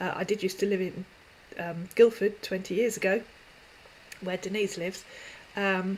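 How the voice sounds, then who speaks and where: A woman's medium-pitched voice with a southeast English accent. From southeast England. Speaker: YouTube scam-baiting channel host. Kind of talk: live stream Q&A. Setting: live stream. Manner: hesitant with many fillers.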